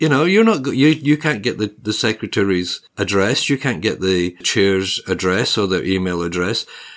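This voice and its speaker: A man with a Scottish accent speaks at a moderate pace in a fairly low pitch. His intonation is lively on a very clean recording with a silent background. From Scotland. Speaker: podcast host and property journalist. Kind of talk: casual conversational podcast chat.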